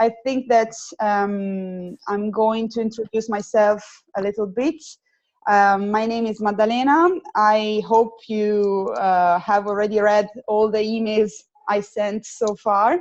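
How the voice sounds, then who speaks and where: A woman speaks with an Italian accent. Her intonation is fairly even. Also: fairly high pitch for a woman, fairly slow pace. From Italy. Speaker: student program coordinator. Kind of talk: webinar. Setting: video call. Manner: halting, many fillers.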